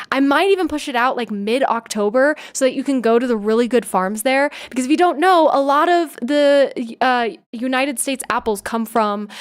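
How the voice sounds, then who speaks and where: With an American accent, a woman speaks at a moderate pace in a high pitch with lively intonation. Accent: slight Valley Girl, Puget Sound style. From US Pacific Northwest, Seattle. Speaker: streamer. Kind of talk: casual live stream chat.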